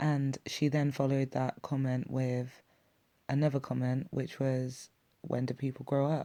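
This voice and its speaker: Fairly slow speech in an English accent. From England. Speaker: YouTube reaction commentator. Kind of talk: video reaction commentary.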